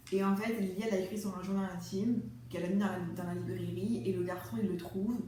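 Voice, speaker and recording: Against noticeable background noise, a woman speaks at a fairly quick pace and a medium pitch. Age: 20s. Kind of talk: casual talk to camera. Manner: fast.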